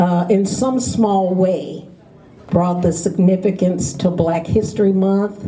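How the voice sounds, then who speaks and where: A woman with a medium-pitched voice talks through noticeable background noise. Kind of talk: speech to an audience. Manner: proud, enthusiastic.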